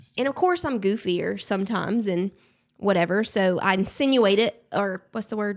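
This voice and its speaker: She speaks with a strong Southern US accent. Her medium-pitched voice moves at a moderate pace with ordinary pitch variation. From Alabama, US South. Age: 30s. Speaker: social media creator. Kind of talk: casual interview chat.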